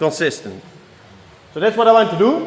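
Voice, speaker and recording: A man with a non-native accent and lively intonation. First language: not English. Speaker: car tuning youtuber. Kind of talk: workshop vlog tutorial. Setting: workshop. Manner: casual, halting with fillers.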